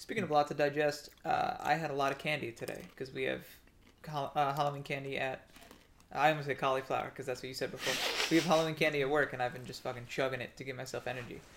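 Over noticeable background noise, the speaker talks at a very fast pace with monotone, flat intonation. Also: man, fairly high pitch for a man. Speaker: podcast host. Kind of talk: casual banter. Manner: joking, sarcastic.

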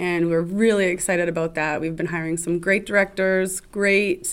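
A normal speaking voice from a woman, medium in pitch and moderate in pace, on a very clean recording with a silent background. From Canada, Ottawa. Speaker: recreation director. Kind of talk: casual interview.

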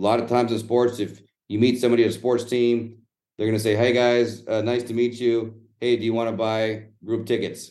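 Speaking at a fairly quick pace with an American accent, this man has a medium pitch, a dark, mellow tone and monotone, flat intonation. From Los Angeles, East Side. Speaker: sports club marketing executive. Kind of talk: interview.

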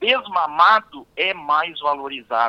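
The sound is dry and close, with no echo. In it, a man talks with lively intonation. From southern Brazil, Rio Grande do Sul. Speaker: veterinarian and livestock auctioneer. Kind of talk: radio interview. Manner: halting.

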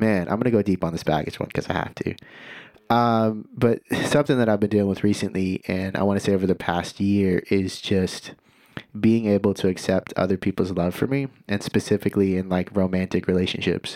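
With an American accent, a man talks at a fairly quick pace in a plain, everyday voice, fairly low in pitch and with fairly even intonation. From Santa Cruz, California. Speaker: musician and label owner. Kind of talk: casual chat.

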